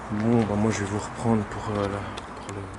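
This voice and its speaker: A soft-spoken man with a fairly low pitch talks at a fairly slow pace in a flat, monotone delivery, with audible room echo and noticeable background noise. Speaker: urban explorer vlogger. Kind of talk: casual exploration vlog narration.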